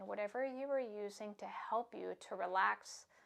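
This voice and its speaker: A soft-spoken woman of medium pitch with ordinary pitch variation. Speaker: yoga instructor. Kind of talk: yoga class instruction; guided meditation. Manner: slow.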